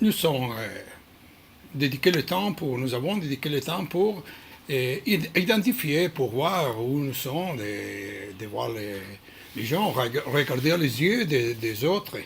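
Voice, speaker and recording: With music in the background, a man with a non-native accent and a fairly high pitch speaks very slowly, his pitch swinging very widely. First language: not French (speaking French). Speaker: krav maga instructor. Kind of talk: prepared talk on training philosophy. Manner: halting, many hesitations.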